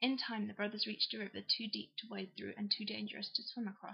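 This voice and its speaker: With an English accent, a woman talks at a fairly quick pace in a fairly high pitch. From England. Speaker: YouTuber. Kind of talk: reading aloud; casual chat. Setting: at home on a sofa with laptop.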